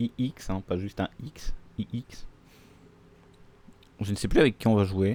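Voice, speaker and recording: In a dry, close recording with no echo, a man speaks at a fairly slow pace in a fairly low, dark, mellow voice, with ordinary pitch variation and long, frequent pauses. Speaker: video game streamer. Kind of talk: gaming livestream commentary.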